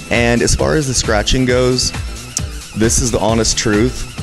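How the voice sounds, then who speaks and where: Music comes through clearly behind the speaker. He is a man talking at a moderate pace. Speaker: interview guest. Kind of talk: interview answer. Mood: relaxed, reflective. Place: bar. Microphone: handheld.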